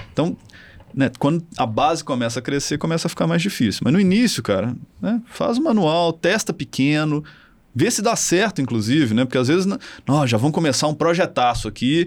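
A man speaks at a moderate pace in a fairly high voice, his pitch swinging very widely while his loudness stays very even. The recording is very clean, with a silent background. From Minas Gerais, Brazil (Belo Horizonte). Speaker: marketing professor and tech founder. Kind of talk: casual interview chat.

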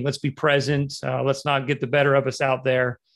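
Against a quiet background, a man talks with an American accent. His pitch is fairly high and his pace moderate. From Utah. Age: 40s. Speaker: real estate agent. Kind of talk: interview.

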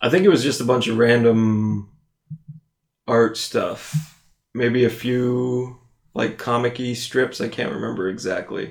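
At a fairly slow pace, a man with an American accent talks in an ordinary speaking voice at medium pitch. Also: ordinary pitch variation. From US East Coast. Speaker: podcast co-host. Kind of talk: casual chat.

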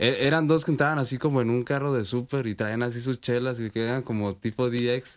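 In a very clean recording with a silent background, a man with an unremarkable speaking voice talks fairly quickly at medium pitch, with fairly even intonation and hardly any pauses. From Sinaloa, Mexico. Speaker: rapper. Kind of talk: interview.

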